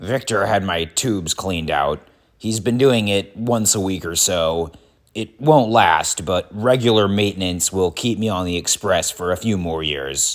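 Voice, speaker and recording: A man speaks at a moderate pace in a raspy, put-on character voice with a fairly low pitch. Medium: read story. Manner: haughty.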